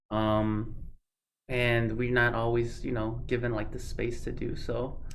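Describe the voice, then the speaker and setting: Audible room echo surrounds a man speaking at a fairly slow pace. His medium-pitched voice has monotone, flat intonation. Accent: Spanish. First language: Spanish. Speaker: college student conduct coordinator. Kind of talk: interview. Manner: halting, many repetitions.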